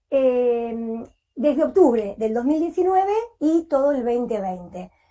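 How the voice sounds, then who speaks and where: Speaking at a fairly slow pace, a woman has a high pitch, a dark, mellow tone and lively intonation. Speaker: early intervention teacher at a hospital school. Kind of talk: conference presentation.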